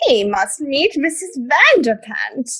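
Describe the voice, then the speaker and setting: Someone does a high-pitched put-on character voice at a fairly slow pace. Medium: audio drama.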